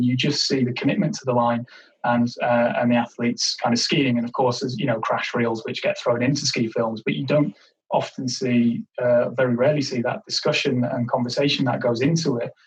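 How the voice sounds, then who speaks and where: A man has an unremarkable speaking voice at a medium pitch with ordinary pitch variation. He talks at a fairly quick pace. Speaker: podcast host. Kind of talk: podcast interview questions.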